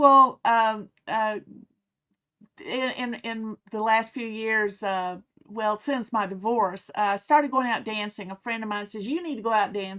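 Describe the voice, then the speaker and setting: Fairly high-pitched woman in a Southern US accent, at a fairly slow pace with ordinary pitch variation. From US South. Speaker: author and private investigator. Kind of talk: interview.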